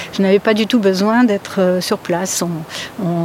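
Amid noticeable background noise, a woman speaks at a moderate pace and medium pitch with fairly even intonation. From France, Polish family. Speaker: seismologist. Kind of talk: interview. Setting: outdoors in a garden. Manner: hesitant, many fillers.

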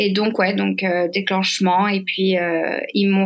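The woman's medium-pitched voice stays monotone, with flat intonation. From southern France, Saint-Tropez. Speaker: guest sharing bereavement story. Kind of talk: testimony. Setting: remote recording. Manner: halting. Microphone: poor sound quality.

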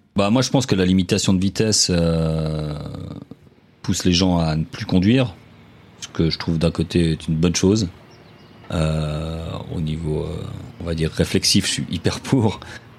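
Over noticeable background noise, a man with a very deep, low voice talks at a fairly slow pace. His pitch varies in an ordinary way, and he pauses long and often. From Geneva, Switzerland. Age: 30s. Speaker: social worker. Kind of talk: interview. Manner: halting.

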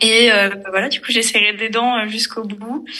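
A woman speaks at a fairly slow pace in a fairly high voice, with flat, monotone intonation. Noticeable background noise runs under her. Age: 20s. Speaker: financial management consultant. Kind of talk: casual interview chat.

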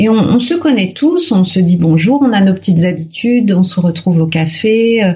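With an unremarkable speaking voice, a woman talks at a medium pitch and moderate pace, with hardly any pauses. Her intonation is lively and her loudness very even. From Paris region, Hauts-de-Seine. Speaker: resident interviewee, actress and mother. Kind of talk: interview.

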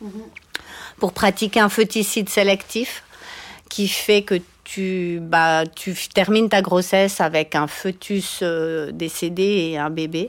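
Her intonation fairly even, a woman speaks at a medium pitch. She has an ordinary speaking voice. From Switzerland, Valais. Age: 50s. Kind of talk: interview. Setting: studio.

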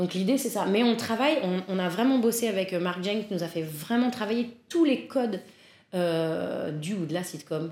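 With lively intonation, a woman speaks at a fairly slow pace and medium pitch. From Paris, France. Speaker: improv and stage actress. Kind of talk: casual interview chat. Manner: hesitant, frequent laughter.

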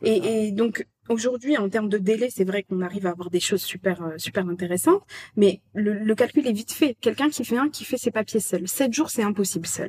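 Somewhat breathy and medium in pitch, a woman speaks at a fairly quick pace with ordinary pitch variation, in a dry, close sound with no echo. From France. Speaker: expat agency co-founder. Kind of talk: casual interview. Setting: recorded at the guests' home.

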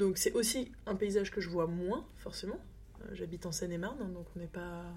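The voice belongs to a woman. She speaks at a moderate pace. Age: 30s. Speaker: communications consultant and deputy mayor. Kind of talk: casual chat. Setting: at home by a fireplace.

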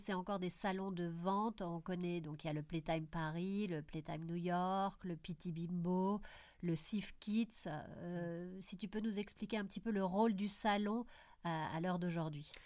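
Recorded very cleanly with a silent background, the speaker uses a normal speaking voice at a fairly slow pace with ordinary pitch variation. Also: woman. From Belgium. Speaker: podcast host, PR agency founder. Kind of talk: interview.

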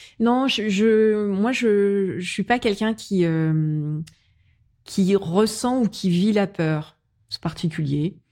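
Speaking very slowly, a woman uses a medium pitch and a dark, mellow tone. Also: ordinary pitch variation. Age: 40s. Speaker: business executive. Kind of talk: casual chat. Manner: hesitant, many fillers.

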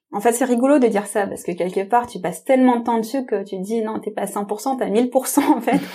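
Her tone is dark and mellow as this fairly high-pitched woman talks at a fairly quick pace with ordinary pitch variation and hardly any pauses. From France, Tamil family. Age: 30s. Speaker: psychologist and doctoral student. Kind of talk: interview.

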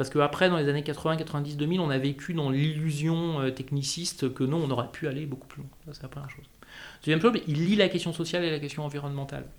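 A man talks very fast in a fairly high voice, with fairly even intonation. His loudness swings widely from moment to moment. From Corsica. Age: 40s. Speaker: communications director. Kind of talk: interview.

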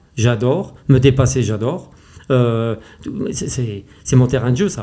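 Dark and mellow in tone, a man's somewhat breathy voice sits at medium pitch. He speaks at a moderate pace. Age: 50s. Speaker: race walker, athlete. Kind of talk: interview. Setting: face to face at host's home. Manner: animated, passionate.

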